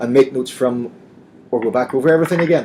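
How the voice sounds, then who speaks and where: A man with a Northern Irish accent talks very fast in a dark, mellow tone. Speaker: assistive software company trainer presenting. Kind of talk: webinar presentation.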